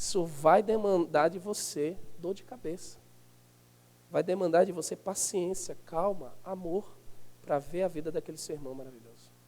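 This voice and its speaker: At a moderate pace, a man speaks at a high pitch with ordinary pitch variation and big swings in loudness. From Northeast Brazil. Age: 30s. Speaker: pastor. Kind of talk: sermon. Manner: animated.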